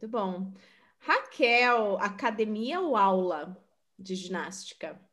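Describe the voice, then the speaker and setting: Audible room echo surrounds a woman speaking at a very slow pace and a medium pitch with ordinary pitch variation. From Sorocaba, São Paulo state, Brazil. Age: 30s. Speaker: podcast host, bilingualism content creator. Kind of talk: casual chat.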